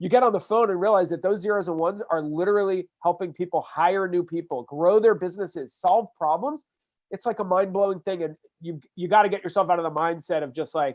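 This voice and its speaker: A man's high-pitched voice at a very fast pace, with ordinary pitch variation against a quiet background. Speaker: social media consultant. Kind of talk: podcast interview. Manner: animated, casual with fillers.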